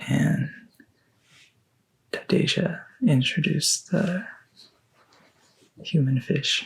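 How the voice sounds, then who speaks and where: Soft-spoken and very slow, a man talks in a fairly high voice. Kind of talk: ASMR soft-spoken talk.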